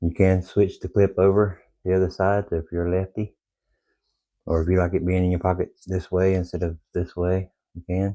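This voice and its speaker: With a very deep, low pitch and a dark, mellow tone, a man speaks at a moderate pace in monotone, flat intonation. The sound is dry and close with no echo, over a quiet background. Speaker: outdoor gear YouTuber. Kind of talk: product review. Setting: at home in the evening. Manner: quiet, low.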